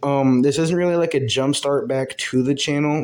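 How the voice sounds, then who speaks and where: Talking at a very fast pace, a man keeps his intonation fairly even. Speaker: gaming YouTuber. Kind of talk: gameplay voiceover commentary. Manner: casual with many fillers.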